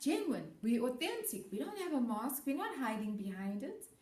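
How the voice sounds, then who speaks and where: A woman's voice with a dark, mellow tone and a somewhat breathy quality. The room echo is audible. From South Africa. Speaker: educator. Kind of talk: presentation to students.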